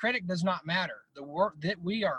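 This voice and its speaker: In a raised, projected voice with a bright, sharp tone, a man with an American accent speaks at a moderate pace and a high pitch, the sound dry and close with no echo. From Northeast Colorado. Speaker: mental skills coach. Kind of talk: interview.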